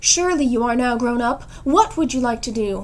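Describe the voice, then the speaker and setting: Over light background noise, a woman puts on a character voice with a high pitch, ordinary pitch variation and a moderate pace. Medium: read story. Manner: formal, proper.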